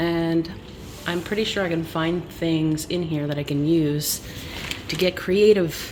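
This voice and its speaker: A woman with a Montreal accent speaks at a fairly low pitch and a fairly slow pace, with noticeable background noise and audible room echo. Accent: Canadian English (Montreal). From Canada, Montreal. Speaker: vlogger. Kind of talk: casual vlog. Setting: at home at night, basement.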